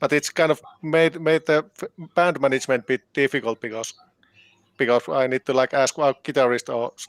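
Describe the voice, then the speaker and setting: At a moderate pace, a man with a Finnish accent and a fairly high pitch speaks with fairly even intonation in a dry, close sound with no echo. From Finland. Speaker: band keyboardist and composer. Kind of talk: interview. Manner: halting, many repetitions.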